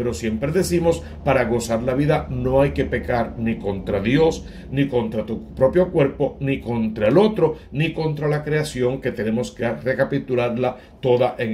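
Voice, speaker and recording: With an unremarkable speaking voice at a medium pitch for a man, a man speaks at a fairly slow pace with lively intonation. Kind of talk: homily / scripture reflection.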